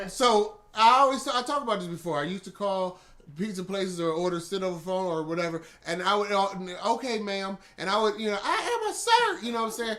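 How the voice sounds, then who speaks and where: A man's high, animated voice at a very fast pace, with ordinary pitch variation over noticeable background noise. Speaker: podcast host. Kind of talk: casual chat.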